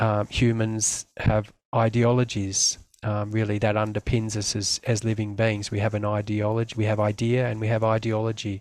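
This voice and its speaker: In an Australian accent, a man talks at a moderate pace and fairly low pitch, flat and monotone. The recording is very clean with a silent background. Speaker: community development worker. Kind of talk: presentation. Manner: hesitant, many fillers.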